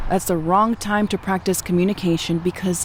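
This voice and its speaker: A woman with a fairly low pitch. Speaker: behavior analyst and parent educator. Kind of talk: tutorial. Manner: loud; animated.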